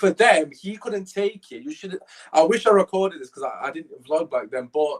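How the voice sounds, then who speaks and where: A man with a high pitch talks at a moderate pace. His tone is animated, and the sound is dry and close with no echo. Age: 20s. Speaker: podcast host. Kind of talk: casual chat.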